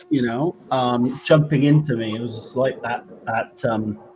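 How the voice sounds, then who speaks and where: Over noticeable background noise, a man in a West Country accent talks at medium pitch with ordinary pitch variation. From West Country, England. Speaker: paranormal investigator and trance medium. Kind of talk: interview answer.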